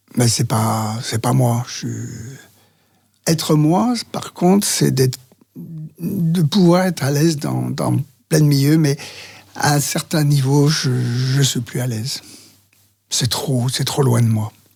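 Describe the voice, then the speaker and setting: A man's fairly high voice at a very slow pace, with long, frequent pauses and music in the background. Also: ordinary pitch variation. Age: 70s. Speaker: men's talk group facilitator. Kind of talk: interview answer. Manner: hesitant.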